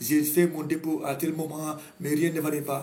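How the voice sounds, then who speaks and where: A man talks with a Senegalese accent. Noticeable background noise and audible room echo are present. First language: Wolof (speaking French). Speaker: astrologer. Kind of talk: talk show monologue. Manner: halting.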